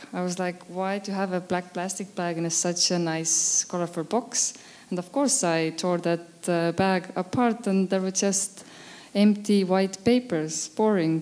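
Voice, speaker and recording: Over noticeable background noise, a woman with an Estonian accent speaks at a fairly slow pace, her medium pitch carrying fairly even intonation. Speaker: photographer. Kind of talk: interview at exhibition opening. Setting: event with audience on a podium. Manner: hesitant, many fillers.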